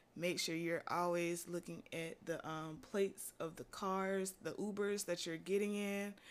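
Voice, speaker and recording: An unremarkable speaking voice moves at a fairly slow pace with fairly even intonation and hardly any pauses. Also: woman, fairly low pitch for a woman. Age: 20s. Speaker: podcast host and college student. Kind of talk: casual monologue. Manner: casual, conversational with filler words.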